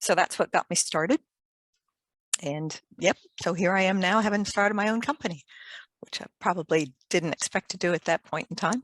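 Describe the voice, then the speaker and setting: A woman's medium-pitched voice at a moderate pace, with ordinary pitch variation, long and frequent pauses, and a dry, close sound with no echo against a quiet background. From US, Maryland. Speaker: fire engineer, company director. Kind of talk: interview.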